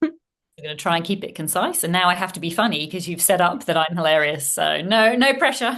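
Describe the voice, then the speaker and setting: A woman talks in a plain, everyday voice, fairly low in pitch, with lively intonation. She moves at a fairly quick pace with hardly any pauses. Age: 40s. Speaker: former emergency doctor turned parent coach. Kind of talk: podcast interview.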